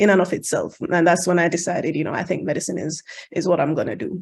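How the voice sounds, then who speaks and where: Very fast and fairly even in intonation, a woman with a Jamaican accent speaks at a fairly low pitch. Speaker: international medical graduate, radiology match panelist. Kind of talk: virtual panel talk. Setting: video call.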